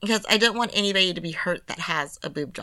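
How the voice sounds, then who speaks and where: A woman with an American accent in an ordinary speaking voice, moderate pace and ordinary pitch variation, on a very clean recording with a silent background. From California. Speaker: podcast co-host and therapist. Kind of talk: casual chat.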